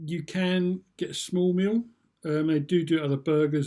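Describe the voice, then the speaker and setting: Recorded very cleanly over a silent background, a man with a British accent speaks at a moderate pace in a dark, mellow tone. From UK. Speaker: vlogger. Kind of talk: casual review monologue. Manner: hesitant, many fillers.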